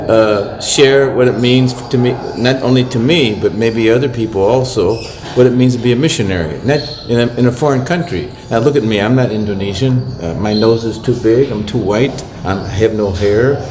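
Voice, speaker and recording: With an American accent, a man speaks at a moderate pace and medium pitch with ordinary pitch variation, amid noticeable background noise and audible room echo. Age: 70s. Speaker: missionary priest. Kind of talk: casual talk to camera. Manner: halting.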